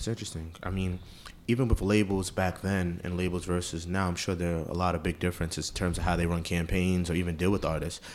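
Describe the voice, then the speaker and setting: In a New York accent, a man speaks at a very fast pace. His very deep, low voice stays monotone and flat. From Queens, New York. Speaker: podcast host. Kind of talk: interview.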